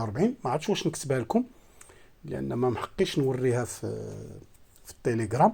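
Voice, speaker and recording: The speaker is a man with a Moroccan accent. His tone is dark and mellow. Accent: Moroccan Arabic (Darija). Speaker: satellite receiver tech youtuber. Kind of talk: tutorial. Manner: halting, many fillers.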